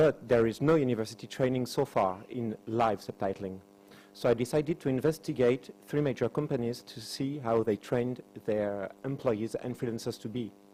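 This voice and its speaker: A man with a French accent speaks at a moderate pace and a medium pitch. His tone is dark and mellow, with ordinary pitch variation. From France. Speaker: university lecturer and subtitler. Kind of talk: conference presentation.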